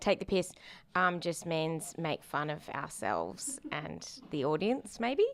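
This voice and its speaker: Speaking at a very slow pace, a woman with an Australian accent uses lively intonation, a fairly low pitch and vocal fry. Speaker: band musician. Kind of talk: interview.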